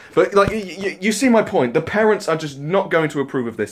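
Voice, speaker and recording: With a British accent, a man speaks at a fairly quick pace and with lively intonation. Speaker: YouTuber. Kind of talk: rant. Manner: animated; stumbling over words.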